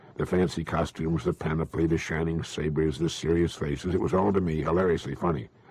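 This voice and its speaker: A man with a very deep, low pitch talks at a very fast pace amid noticeable background noise. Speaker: motivational speaker. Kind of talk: motivational talk / speech. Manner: measured, conversational, earnest.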